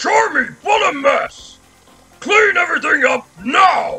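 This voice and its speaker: A put-on character voice is used. The pace is fairly slow. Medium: dub. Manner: angry, shouting.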